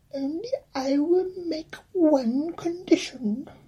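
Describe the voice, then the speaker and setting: This man speaks at a very slow pace. He is doing a put-on character voice. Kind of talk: bedtime story reading with comic asides. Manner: angry, indignant, then stern and bargaining.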